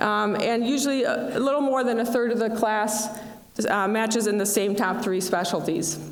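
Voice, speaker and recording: A woman at a fairly high pitch and fairly quick pace, ordinary pitch variation, audible room echo and noticeable background noise. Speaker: dean of student affairs. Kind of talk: ceremony speech.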